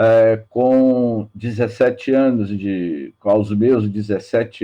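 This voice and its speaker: Very slowly, a man speaks in a fairly low voice with a dark, mellow tone and fairly even intonation. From Bahia, Brazil (Salvador). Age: 60s. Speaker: spiritist lecturer. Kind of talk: religious talk. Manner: halting.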